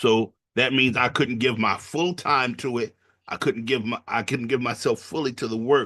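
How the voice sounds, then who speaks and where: A bright, sharp voice with an American accent moves at a moderate pace with fairly even intonation. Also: man, quiet background. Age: 60s. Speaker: pastor. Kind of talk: panel discussion. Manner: halting.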